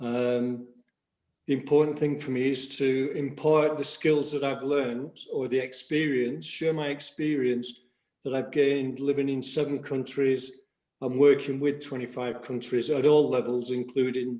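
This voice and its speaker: With an English accent, this dark, mellow voice moves at a moderate pace in a flat monotone. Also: man, medium pitch for a man. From England. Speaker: executive coach. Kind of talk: video call group chat.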